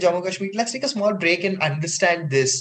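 A man is speaking. Noticeable background noise comes through. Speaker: radio host. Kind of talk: educational podcast interview.

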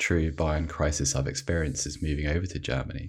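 A man speaks with a very deep, low voice and vocal fry. His pace is fairly quick. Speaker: sportswriter. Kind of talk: casual chat.

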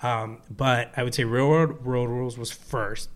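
An American accent marks this man's speech, an ordinary speaking voice at medium pitch with fairly even intonation. The recording is very clean, with a silent background. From New Jersey. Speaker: film writer-director. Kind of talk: casual chat.

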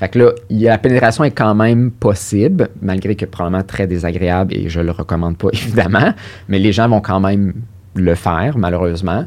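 At a moderate pace, a man with a fairly low pitch and ordinary pitch variation talks in a normal speaking voice. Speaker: sexologist and psychotherapist. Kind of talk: interview.

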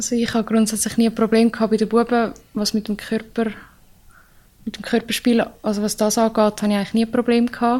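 A dark, mellow tone delivers speech at a very fast pace with monotone, flat intonation. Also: woman, fairly high pitch for a woman. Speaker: ice hockey player. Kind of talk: casual interview.

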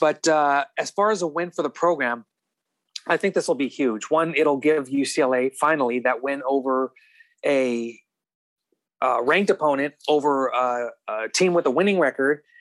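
A man with an ordinary speaking voice, fairly high pitch, ordinary pitch variation and moderate pace, in a dry, close sound with no echo. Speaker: college beat writer. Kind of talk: casual interview chat.

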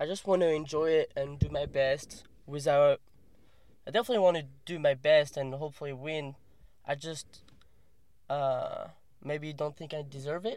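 Speaking with a French accent, a man at a fairly high pitch keeps fairly even intonation at a moderate pace, with long, frequent pauses. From France. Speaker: professional kayaker. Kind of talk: casual interview. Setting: in a car.

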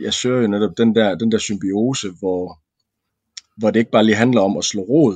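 Moderate pace and a fairly low pitch from a man. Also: ordinary pitch variation. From West Jutland, Denmark. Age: 30s. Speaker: former soldier. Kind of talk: casual chat. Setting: studio. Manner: halting, many fillers and repeats.

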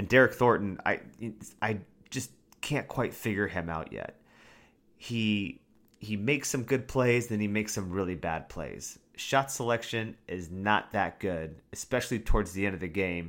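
A man speaks with a normal speaking voice, fairly low in pitch and at a moderate pace. His pitch varies in an ordinary way, and the recording is very clean with a silent background. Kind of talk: play-by-play game recap with analysis. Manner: conversational, opinionated, with some filler words.

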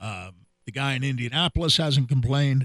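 At a fairly quick pace, a man talks in an ordinary speaking voice that is fairly high in pitch. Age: 60s. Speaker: sports radio host. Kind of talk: casual chat.

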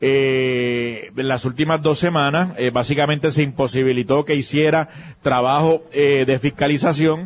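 In a normal speaking voice, a man talks at a fairly slow pace with a fairly high pitch, very even loudness and fairly even intonation. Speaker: political commentator. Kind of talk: political analysis talk. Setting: remote broadcast at a pharmacy.

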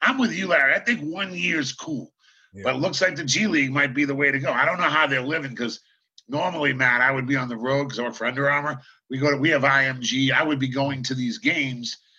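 Animated and very fast, a man speaks at a fairly high pitch in a bright, sharp tone with ordinary pitch variation. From Boston, US. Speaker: basketball coach and TV analyst. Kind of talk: casual chat.

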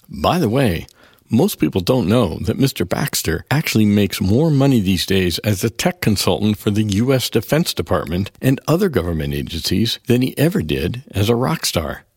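A man's fairly low voice at a moderate pace, with very wide pitch swings and hardly any pauses. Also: very even loudness. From US, small town. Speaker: film composer and musician. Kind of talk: scripted narration.

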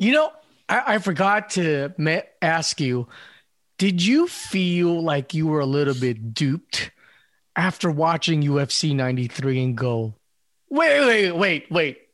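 An ordinary speaking voice with an American accent, lively intonation, very even loudness, and a fairly slow pace. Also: man, fairly high pitch for a man. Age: 40s. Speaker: podcast host. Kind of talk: casual chat.

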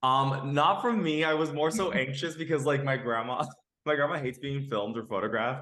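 With an American accent, a man talks at a fairly high pitch and a fairly quick pace, using ordinary pitch variation in an unremarkable speaking voice. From Los Angeles (Boyle Heights), Mexican-Nicaraguan family. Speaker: actor and immigration activist. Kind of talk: casual interview.

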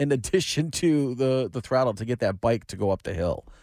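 With an American accent, a man speaks in an unremarkable speaking voice at medium pitch and a moderate pace, with lively intonation and a dry, close sound with no echo. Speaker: sports reporter. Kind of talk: news reading.

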